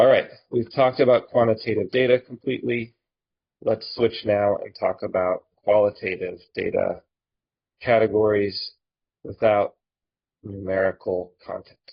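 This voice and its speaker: A man talks at a moderate pace, leaving long, frequent pauses. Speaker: statistics instructor. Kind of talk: lecture. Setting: recorded online lecture video. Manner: robotic when typing.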